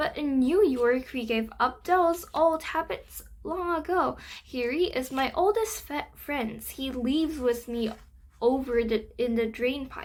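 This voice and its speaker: Using a squeaky put-on character voice, a woman speaks at a high pitch and a fairly slow pace. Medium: read story. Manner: chatty, slangy.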